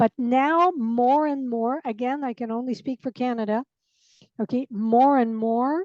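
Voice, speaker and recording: High-pitched woman's voice, dark and mellow in tone, with ordinary pitch variation and a dry, close sound with no echo. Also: quiet background. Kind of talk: casual chat.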